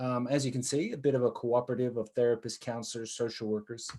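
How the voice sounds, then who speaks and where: Dark, mellow tone, delivered at a fairly quick pace. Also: man. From United States. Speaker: social worker and business owner. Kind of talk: conference presentation.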